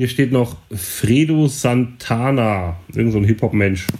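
Recorded very cleanly against a silent background, a man talks at a very slow pace in a somewhat breathy voice with ordinary pitch variation. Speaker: podcast co-host and DJ. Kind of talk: casual chat.

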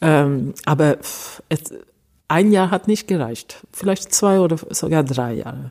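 Speaking at a very slow pace with long, frequent pauses, a woman uses a very deep, low pitch, a dark, mellow tone and lively intonation. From Sweden, Stockholm. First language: Swedish (speaking German). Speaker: cellist. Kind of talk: interview. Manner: halting.

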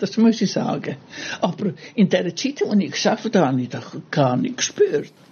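Through noticeable background noise, a woman at medium pitch speaks at a fairly quick pace with very wide pitch swings. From Italy. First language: Italian (speaking German). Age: 80s+. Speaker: gardener, host's mother. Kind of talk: personal story. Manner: halting.

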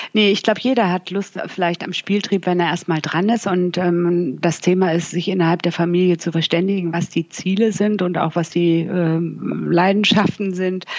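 A woman with an unremarkable speaking voice, fairly low pitch, fairly even intonation, a moderate pace, and hardly any pauses. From northern Germany (Bremen). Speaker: financial journalist. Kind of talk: interview.

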